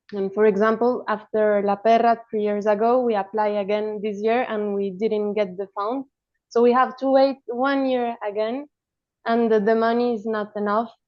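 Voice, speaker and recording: A woman's fairly high voice in a monotone, flat intonation. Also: moderate pace. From Colombia. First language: Spanish. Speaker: animation film director. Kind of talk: roundtable discussion.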